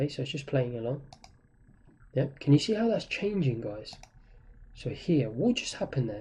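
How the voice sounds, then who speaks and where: At a moderate pace with long, frequent pauses, a man speaks in a somewhat breathy, dark, mellow tone, fairly high in pitch and swinging very widely. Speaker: trading instructor. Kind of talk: tutorial.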